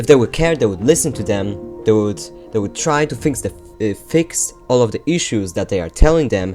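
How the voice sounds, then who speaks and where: At a moderate pace, someone speaks with a non-native accent while music plays in the background. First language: not English. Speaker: gaming YouTuber. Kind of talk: opinion rant to camera.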